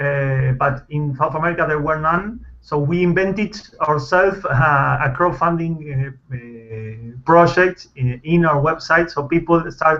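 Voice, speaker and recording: With a Spanish accent, a man talks at a fairly slow pace and fairly high pitch, with ordinary pitch variation and hardly any pauses. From Argentina. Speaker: film director. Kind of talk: interview. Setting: video call. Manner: halting, many fillers and restarts.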